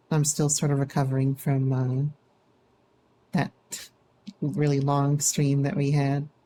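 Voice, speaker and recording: A woman speaks in a relaxed tone at a fairly slow pace, her pitch very deep and low and her tone dark and mellow. Her intonation is monotone and flat, with very even loudness and long, frequent pauses. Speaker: vtuber streamer. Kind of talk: casual live stream chat. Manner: casual, relaxed.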